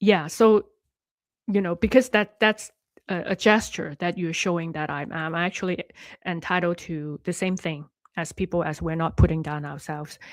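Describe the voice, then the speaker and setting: With a Cantonese accent, a woman speaks at a fairly low pitch and a moderate pace, leaving long, frequent pauses, her loudness swinging widely. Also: ordinary pitch variation, very clean recording, silent background. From Hong Kong. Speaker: life coach and online host. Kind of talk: live stream talk to viewers. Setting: live stream. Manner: halting, with many fillers and restarts.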